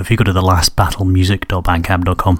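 He has a low-pitched voice. His pace is fast.

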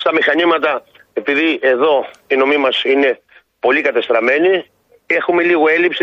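A man speaks at a moderate pace with an unremarkable speaking voice. His pitch sits fairly high, and his intonation stays fairly even. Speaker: village president and farmer. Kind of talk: radio phone interview.

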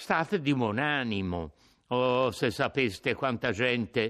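A natural voice, reading aloud

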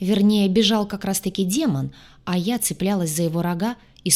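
The clip is simply plain reading aloud.

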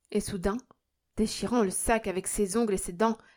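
Over a quiet background, the speaker is reading aloud in a natural voice with fairly even intonation.

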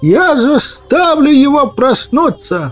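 A man performs in a put-on character voice at a fairly slow pace. Faint music plays in the background. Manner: shouting until hoarse.

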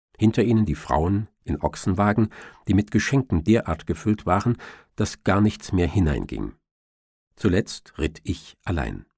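Lively intonation with vocal fry, a slightly mellow tone and a slightly husky edge, at a moderate pace on a very clean recording with a silent background. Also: man, low pitch for a man.

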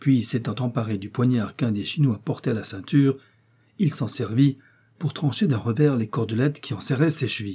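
The pitch shows ordinary variation in this plain reading aloud.

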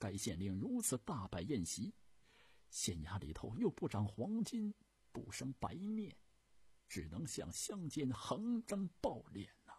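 A man puts on a character voice at a medium pitch, with very wide pitch swings and a fairly slow pace. His tone is dark and mellow with a husky, rough edge.

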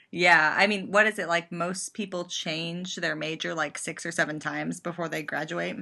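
A bright, sharp tone with vocal fry, fairly even intonation, moderate pace and hardly any pauses. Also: woman, fairly low pitch for a woman. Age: 20s. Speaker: YouTuber and theater performer. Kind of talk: casual chat.

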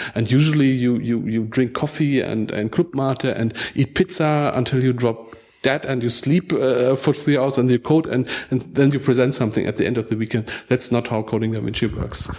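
In a German accent, a man talks at a moderate pace and medium pitch with ordinary pitch variation. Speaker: digital library organizer. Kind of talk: roundtable discussion. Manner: halting, repeats words.

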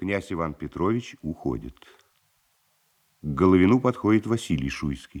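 A man speaks in a low pitch with a slightly mellow tone and a slightly husky edge. His pace is moderate and his intonation lively.

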